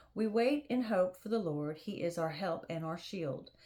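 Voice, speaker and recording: A woman with a medium-pitched voice and a dark, mellow tone speaks at a fairly slow pace with lively intonation. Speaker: Bible reading channel host. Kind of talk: reading aloud. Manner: soft-spoken.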